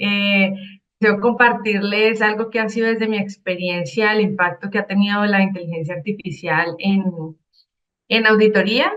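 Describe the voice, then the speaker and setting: With a Cali accent, a woman speaks at a moderate pace using fairly even intonation. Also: medium pitch for a woman. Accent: Colombian, Cali (caleño). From Colombia, Cali. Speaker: IT auditor and consultant. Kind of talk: conference talk.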